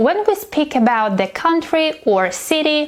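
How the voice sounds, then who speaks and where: A woman with a non-native accent, very slow pace and lively intonation, over noticeable background noise. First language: not English. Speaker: English teacher. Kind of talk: tutorial.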